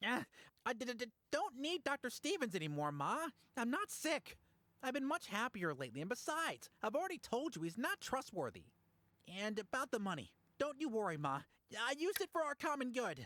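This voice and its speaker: A female-sounding voice uses a put-on character voice at a fairly high pitch. It moves at a fairly quick pace with very wide pitch swings. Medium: video game. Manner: stammering, nervous.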